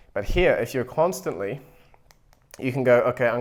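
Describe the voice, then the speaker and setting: A man speaks with a New Zealand accent. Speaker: YouTuber and AI agency owner. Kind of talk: whiteboard tutorial to camera. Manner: fast, with frequent self-repeats and fillers.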